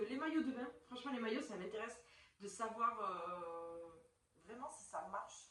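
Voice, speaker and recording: The speech has lively intonation and a moderate pace, with room echo you can hear. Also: woman. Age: 30s. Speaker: YouTuber. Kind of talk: product review vlog. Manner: casual, hesitant with many fillers.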